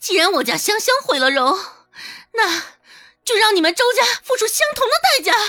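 A woman puts on a character voice that is extremely high, loud and shrill, with a bright, sharp tone, big pitch swings and a moderate pace.

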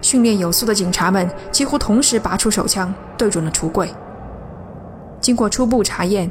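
A woman's medium-pitched voice in a dramatic tone, with ordinary pitch variation, very even loudness, a moderate pace and long, frequent pauses, over music in the background. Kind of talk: scripted ghost story narration. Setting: studio. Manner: hushed, suspenseful storytelling pace; measured, building tension, dramatic emphasis.

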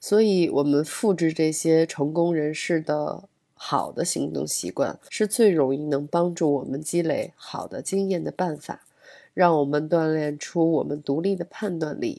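A woman speaks with a very deep, low pitch and a dark, mellow tone. Her pace is fairly slow, with ordinary pitch variation. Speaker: podcast host. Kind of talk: solo podcast monologue. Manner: hesitant with many fillers.

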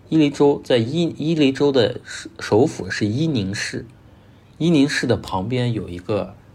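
A somewhat breathy man at a fairly slow pace. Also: medium pitch for a man, lively intonation. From northwest China, Gansu. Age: 30s. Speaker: landscape photographer and photo tour leader. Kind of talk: podcast interview.

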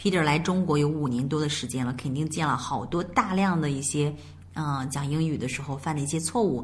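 At a very fast pace, a woman speaks in a very deep, low voice with ordinary pitch variation and audible room echo. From China. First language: Mandarin Chinese. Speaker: English teacher. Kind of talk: bilingual language lesson.

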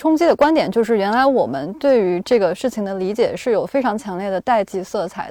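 A woman with an unremarkable speaking voice talks at a fairly quick pace. Her fairly high voice carries lively intonation. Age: 20s. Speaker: podcast co-host and culture journalist. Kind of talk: podcast discussion.

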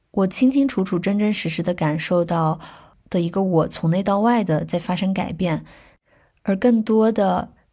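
A somewhat breathy voice with a dark, mellow tone moves at a moderate pace with ordinary pitch variation, in a very clean recording with a silent background. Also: woman. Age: 20s. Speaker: musician and travel blogger. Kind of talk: personal year-in-review monologue.

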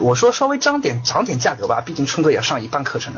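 Speech comes at a very fast pace amid noticeable background noise and audible room echo. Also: man. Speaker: online business course lecturer. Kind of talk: online lecture. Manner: repetitive. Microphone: connection lagging.

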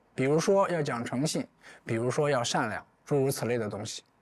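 A man speaks in a normal speaking voice at a moderate pace, with lively intonation. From China, rural Anhui. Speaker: writer and folklore researcher. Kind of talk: public talk at an event.

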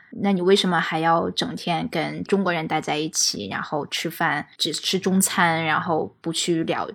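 Her fairly low voice carries vocal fry. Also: very clean recording, silent background. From mainland China. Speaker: podcast guest. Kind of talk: casual chat.

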